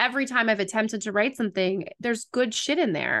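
A woman's bright, sharp tone stands out over a quiet background. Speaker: podcast host. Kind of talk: casual interview chat. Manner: rambling, goes off topic.

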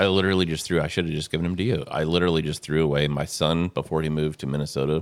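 A man with a very deep, low pitch at a very fast pace. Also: hardly any pauses. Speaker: pastor. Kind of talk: casual chat. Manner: animated.

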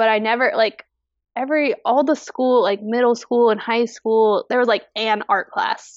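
A woman speaks in a plain, everyday voice, pitched fairly high. Her pace is moderate, her loudness very even and her intonation fairly even. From US, army family, moved around. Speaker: fiber artist. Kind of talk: casual interview. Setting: video call.

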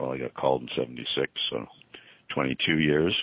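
A man with a Canadian accent speaks in a very deep, low voice. His intonation is monotone and flat, with noticeable background noise. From Montreal, Quebec. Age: 60s. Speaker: corporate lawyer. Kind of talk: interview. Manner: hesitant, many fillers.

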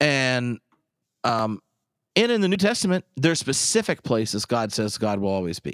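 A man speaks at a moderate pace in an animated tone, his medium pitch swinging very widely, with a dry, close sound and no echo. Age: 30s. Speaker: podcast host and pastor. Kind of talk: casual chat.

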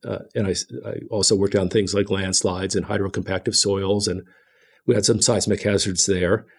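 On a very clean recording with a silent background, a man talks at a fairly quick pace in a fairly low pitch. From Ohio, Cleveland. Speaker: state geologist. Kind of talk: casual interview. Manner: halting, frequent repetitions.

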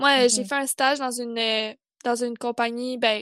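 A woman with a Quebec accent speaks at a moderate pace in a high voice, the sound dry and close with no echo. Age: 20s. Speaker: fashion design student, podcast co-host. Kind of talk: casual chat.

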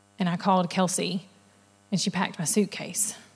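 Somewhat breathy and at medium pitch, a woman speaks on a very clean recording with a silent background. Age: 30s. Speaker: church women's event leader. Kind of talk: sermon. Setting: church with audience.

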